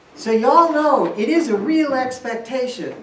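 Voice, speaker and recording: A woman speaks at a fairly slow pace with lively intonation, amid noticeable background noise and audible room echo. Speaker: lay worship leader. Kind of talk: sermon. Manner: projecting.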